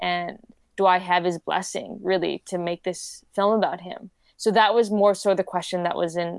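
This woman speaks with a Canadian accent at a medium pitch and a moderate pace. Her intonation is monotone and flat. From Vancouver, Canada. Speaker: documentary filmmaker. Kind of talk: casual interview.

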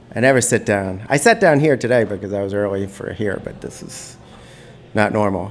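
A man with an American accent, fairly low in pitch, at a fairly quick pace, with ordinary pitch variation, big swings in loudness and noticeable background noise. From New York City (Brooklyn). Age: 40s. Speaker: guest. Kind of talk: casual chat.

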